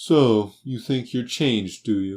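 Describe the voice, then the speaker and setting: A man's put-on character voice at medium pitch, fairly slow, with ordinary pitch variation. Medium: read story. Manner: curt, contemptuous.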